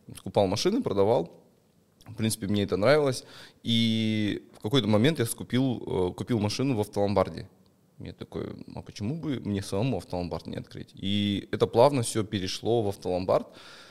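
A man talks at a moderate pace in a normal speaking voice, with fairly low pitch and ordinary pitch variation. His loudness swings widely. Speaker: investor and pawnshop owner. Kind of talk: casual chat.

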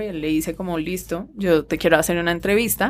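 Her voice is an unremarkable speaking voice, fairly low in pitch. The woman keeps her intonation fairly even. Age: 30s. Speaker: writer and illustrator. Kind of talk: casual chat.

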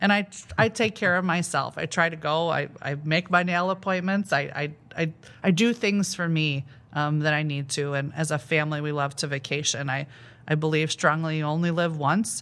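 A woman with a Midwestern American accent, very deep and low in pitch, with ordinary pitch variation and a moderate pace, against a quiet background. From northern Illinois. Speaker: school principal. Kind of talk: interview.

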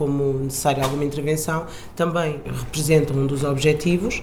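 A woman talks at a moderate pace in a very deep, low voice with monotone, flat intonation. Audible room echo and noticeable background noise fill the recording. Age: 20s. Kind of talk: interview. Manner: hesitant, with fillers.

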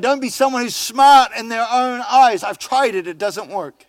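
This speaker talks at a moderate pace in a New Zealand accent. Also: man. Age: 50s. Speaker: pastor. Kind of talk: sermon. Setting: church. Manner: halting.

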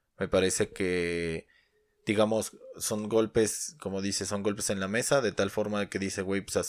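At a moderate pace and with fairly even intonation, an unremarkable speaking voice comes through on a very clean recording with a silent background. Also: man. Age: 30s. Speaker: sneaker podcast co-host. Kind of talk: casual chat.

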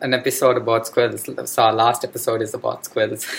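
A man speaks at a medium pitch. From India. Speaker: podcast host, science student. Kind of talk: interview. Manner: halting.

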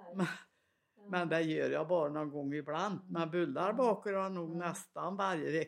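With a strong Värmland accent, a woman speaks at a moderate pace and a fairly low pitch, her intonation fairly even. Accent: strong Värmland accent, taken for Norwegian. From Värmland, Sweden (Svanskog). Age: 90s. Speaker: retired farm woman, mother. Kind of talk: casual conversation.

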